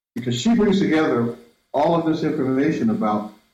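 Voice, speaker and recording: Audible room echo surrounds a man who speaks at a moderate pace with very wide pitch swings. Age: 60s. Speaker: filmmaker and Afrofuturism researcher. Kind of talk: interview. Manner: halting, with many repetitions.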